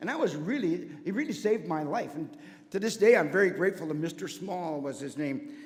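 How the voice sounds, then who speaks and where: Over noticeable background noise and audible room echo, a man talks at a fairly quick pace in a high voice with very wide pitch swings. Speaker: church member giving testimony, former teacher. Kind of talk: testimony. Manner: fast; energetic.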